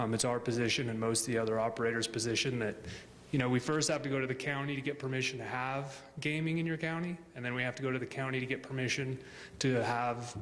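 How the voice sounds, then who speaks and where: Talking at a very fast pace, a man keeps a medium pitch and fairly even intonation. Room echo is audible, along with noticeable background noise. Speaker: business representative presenting to city council. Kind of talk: public comment at council meeting. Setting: city council meeting chamber.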